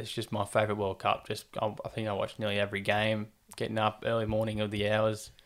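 In an Australian accent, a man talks at a fairly quick pace with a fairly low pitch and monotone, flat intonation. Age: 20s. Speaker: sports podcast host. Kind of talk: casual chat.

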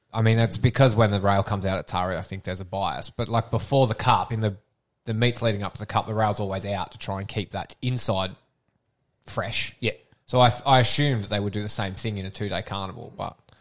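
Speaking very fast in an Australian accent, a man keeps his intonation fairly even. His pitch is fairly low, and the recording is very clean, with a silent background. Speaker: podcast host. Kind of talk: casual chat. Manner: loud.

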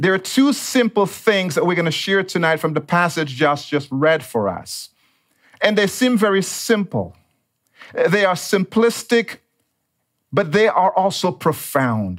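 A man with a slight Dominican accent and high pitch speaks at a fairly slow pace. His intonation is lively and his loudness very even. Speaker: pastor. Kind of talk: sermon.

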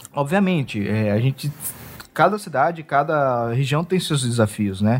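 An unremarkable speaking voice from a man, fairly high in pitch and at a fairly slow pace. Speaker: podcast interviewer. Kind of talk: interview.

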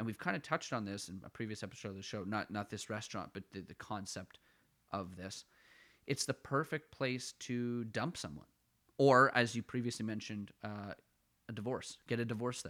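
A man speaks at a moderate pace with an Ottawa accent. His voice is medium in pitch with a bright, sharp tone. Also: very clean recording, silent background. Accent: Canadian, Ottawa-area. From Ottawa, Canada. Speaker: podcast co-host. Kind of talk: casual comedic banter. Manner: self-deprecating, rambling, joking.

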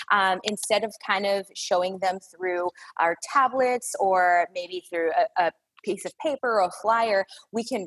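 A woman with an American accent speaks in a normal speaking voice at a fairly slow pace, with ordinary pitch variation and a dry, close sound with no echo. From Chicago area. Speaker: retail store manager. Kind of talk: podcast interview.

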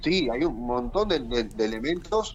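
A man speaks at a moderate pace. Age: 40s. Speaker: teacher and political activist. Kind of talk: interview. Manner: repeats words, slightly halting.

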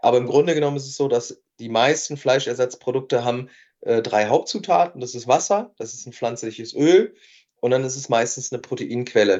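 Talking at a fairly quick pace with big swings in loudness, a man with an unremarkable speaking voice keeps a medium pitch and ordinary pitch variation. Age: 30s. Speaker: entrepreneur and nutrition scientist. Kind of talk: casual chat.

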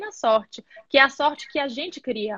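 A woman projects a raised, high-pitched voice with a bright, sharp tone, recorded with a dry, close sound and no echo. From Bahia, Brazil. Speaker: entrepreneur, live interview host. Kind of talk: casual live-stream interview. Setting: video call live stream.

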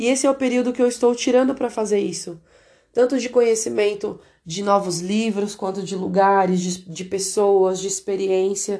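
Over a quiet background, a woman of medium pitch talks at a moderate pace in a dark, mellow tone. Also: ordinary pitch variation. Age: 20s. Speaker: podcaster. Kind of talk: personal diary podcast monologue. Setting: at home in an apartment.

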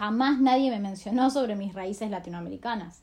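A woman with a normal speaking voice and ordinary pitch variation keeps to a moderate pace. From Argentina. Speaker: scholarship alumna. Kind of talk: recorded audio message.

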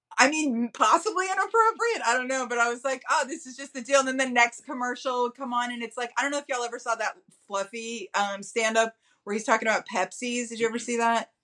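Speaking very fast with a Texan accent, a woman has an animated tone. Her pitch is high, with ordinary variation. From Texas. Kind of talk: casual chat.

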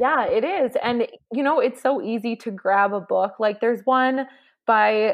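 A woman's fairly high voice in a Canadian accent at a moderate pace, an unremarkable speaking voice. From Canada. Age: 20s. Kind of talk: interview.

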